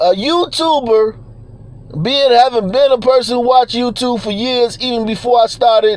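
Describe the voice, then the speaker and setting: A man talks at a moderate pace in an extremely high pitch with ordinary pitch variation, over noticeable background noise. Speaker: YouTuber. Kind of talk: casual livestream rant. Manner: runs words together; halting, repeats words.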